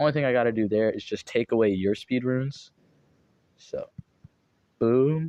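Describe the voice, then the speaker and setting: A man's dark, mellow tone with fairly even intonation, in a dry, close sound with no echo. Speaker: gaming video creator. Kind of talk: gameplay commentary.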